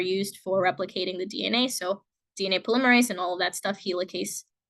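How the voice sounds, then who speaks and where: Keeping her intonation fairly even, a woman speaks at a very fast pace. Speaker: college biology instructor. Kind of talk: lecture. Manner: casual, filler-heavy.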